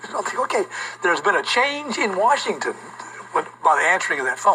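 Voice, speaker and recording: Over noticeable background noise, a man with an American accent speaks in a raised, projected voice with very wide pitch swings. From US South. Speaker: history teacher. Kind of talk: classroom lecture.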